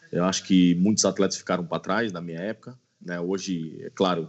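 A man with a very deep, low pitch talks at a fairly quick pace with fairly even intonation. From Brazil, Brasília. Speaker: former pro footballer and player agent. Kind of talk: interview.

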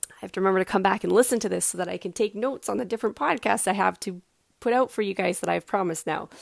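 A woman talks very fast with vocal fry and ordinary pitch variation. The recording is very clean, silent behind her, dry and close with no echo. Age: 30s. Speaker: podcast host. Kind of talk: solo podcast monologue. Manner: casual, frequent laughs.

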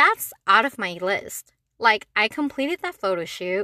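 An animated woman with a bright, sharp tone and very wide pitch swings, dry and close with no echo. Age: 20s. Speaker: solo podcaster. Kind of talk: casual monologue.

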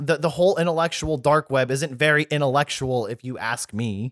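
At a fairly high pitch and a moderate pace, a man talks with ordinary pitch variation in a dry, close sound with no echo. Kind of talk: casual chat. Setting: at home with headphones.

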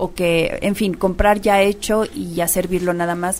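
Music plays in the background as the speaker goes at a moderate pace with ordinary pitch variation. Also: woman. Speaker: radio host. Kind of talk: radio talk show interview.

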